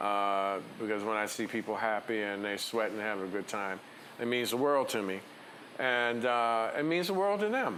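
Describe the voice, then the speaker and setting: Through audible room echo, a man with a bright, sharp tone speaks at a moderate pace and a medium pitch, with ordinary pitch variation. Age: 60s. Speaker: DJ. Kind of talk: interview. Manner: animated.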